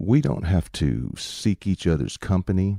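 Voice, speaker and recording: A man with a Southern US accent speaks in a very deep, low voice with a dark, mellow tone and lively intonation, the sound dry and close with no echo on a very clean recording with a silent background. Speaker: video essayist. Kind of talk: monologue commentary. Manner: sarcastic, conversational.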